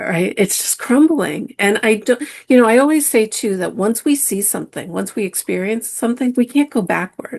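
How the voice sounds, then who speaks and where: A woman with vocal fry talks at a moderate pace with lively intonation and hardly any pauses. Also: fairly high pitch for a woman. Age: 60s. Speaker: spiritual teacher. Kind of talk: podcast interview.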